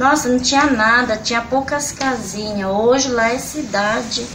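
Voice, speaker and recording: A woman speaks at a high pitch over noticeable background noise. Room echo is audible. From São Paulo state, Brazil (Pirapora do Bom Jesus / Santana de Parnaíba). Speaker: museum cleaner. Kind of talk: oral history interview.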